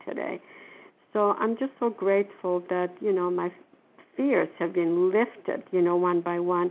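A woman speaks at a fairly slow pace with a non-native accent. Her pitch is medium, with ordinary variation. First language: not English. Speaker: twelve-step group member. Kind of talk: support group share. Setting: phone conference call. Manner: halting.

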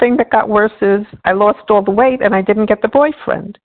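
A woman with a plain, everyday voice speaks at a moderate pace in a medium pitch, her intonation fairly even. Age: 60s. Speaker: support group member. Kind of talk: testimony. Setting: phone call.

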